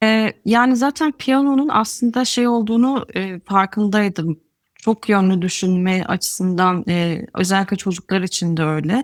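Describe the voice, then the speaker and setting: A woman speaks at a medium pitch in a plain, everyday voice, fairly slowly and with hardly any pauses. Her pitch varies in an ordinary way, and the very clean recording has a silent background and a dry, close sound with no echo. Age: 30s. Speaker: adult piano student. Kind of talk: interview.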